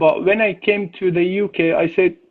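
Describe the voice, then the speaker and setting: Talking at a moderate pace, a man with a non-native accent has a high voice. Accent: foreign accent in English. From Iran, born and raised as Afghan refugee. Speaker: chef and cooking teacher. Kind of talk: interview. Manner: halting, many filler sounds.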